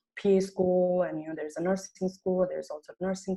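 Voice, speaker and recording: With a slight Nepali accent, a woman speaks at a fairly quick pace. Her pitch is fairly low and her intonation fairly even. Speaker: medical student. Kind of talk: personal testimony in group discussion. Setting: video call.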